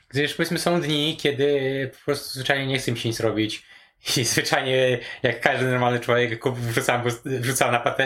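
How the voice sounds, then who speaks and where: The man speaks at a moderate pace with medium pitch. His intonation is fairly even. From rural Poland. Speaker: programmer and home cook. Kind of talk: casual chat. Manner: halting, many fillers.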